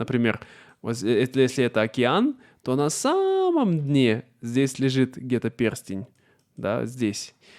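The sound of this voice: A man speaks at a fairly slow pace in a slightly mellow tone. The recording is very clean, with a silent background.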